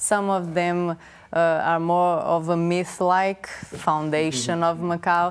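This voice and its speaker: Speaking very slowly with a Portuguese accent, a woman keeps a fairly low pitch, monotone, flat intonation, and very even loudness on a very clean recording with a silent background. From Brazil. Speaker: anthropologist. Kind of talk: TV interview. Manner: halting.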